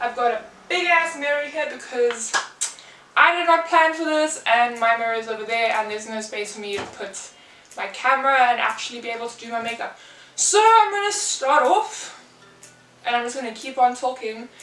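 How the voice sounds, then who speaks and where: Over noticeable background noise and audible room echo, a woman speaks at a moderate pace in a high pitch, her intonation lively and her loudness swinging widely. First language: not English. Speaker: lifestyle and makeup vlogger. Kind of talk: casual vlog chat. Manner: rambling with fillers.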